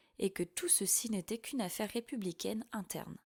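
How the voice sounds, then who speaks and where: In a dry, close recording with no echo, a woman with an ordinary speaking voice and a medium pitch speaks at a moderate pace with lively intonation. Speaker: voice-over narrator. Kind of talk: audiobook fiction narration.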